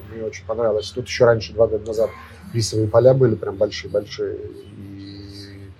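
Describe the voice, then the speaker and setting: His volume rises and falls sharply as the man talks at a moderate speed. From Russia. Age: 30s. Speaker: restaurant owner and chef. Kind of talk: interview. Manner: halting.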